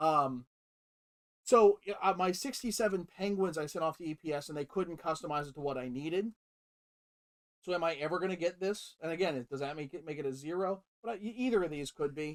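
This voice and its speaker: A man talks loudly at a high pitch and a fairly quick pace, with ordinary pitch variation. The sound is dry and close, with no echo. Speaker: hockey jersey collector. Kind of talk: casual chat.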